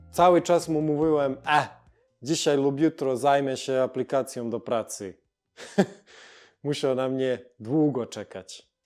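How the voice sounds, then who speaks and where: A man at a fairly high pitch, with ordinary pitch variation, a very slow pace and long, frequent pauses, on a very clean recording with a silent background. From Montenegro. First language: Montenegrin (Serbo-Croatian) (speaking Polish). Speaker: YouTuber. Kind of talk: casual vlog narration.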